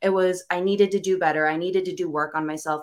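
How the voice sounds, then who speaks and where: A woman speaks in an ordinary speaking voice, fairly low-pitched with ordinary pitch variation. Her pace is fairly quick, and the recording is very clean with a silent background. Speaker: entrepreneur, host's daughter. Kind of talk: casual conversation.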